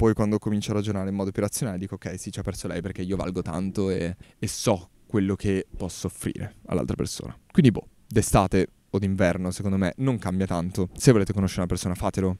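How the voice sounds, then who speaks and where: A man talks at a very fast pace in a very deep, low voice with a dark, mellow tone. His intonation stays fairly even, and the sound is dry with no echo. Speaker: podcaster. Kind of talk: casual monologue podcast. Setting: outdoors in a park. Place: garden. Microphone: handheld.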